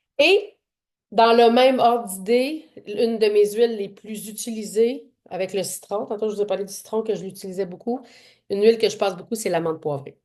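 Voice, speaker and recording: A woman with a Quebec accent speaks at a moderate pace and a fairly high pitch, with ordinary pitch variation. Her loudness swings widely against a quiet background. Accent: Québécois French. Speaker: essential oils workshop presenter and fitness trainer. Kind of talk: online workshop presentation.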